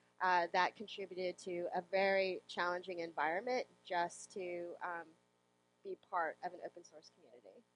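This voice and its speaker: A woman with a fairly low pitch and an ordinary speaking voice talks at a moderate pace with fairly even intonation and big swings in loudness, the sound dry and close with no echo. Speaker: software developer and conference speaker. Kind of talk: interview.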